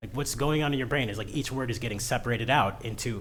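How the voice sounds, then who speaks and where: Somewhat breathy and animated in tone, a man talks at a medium pitch amid audible room echo. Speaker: tech streamer. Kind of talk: casual livestream rant. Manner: fast.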